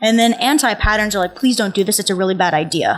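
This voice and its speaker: A woman with an American accent and ordinary pitch variation, music playing in the background. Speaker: conference speaker. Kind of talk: conference talk. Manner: casual.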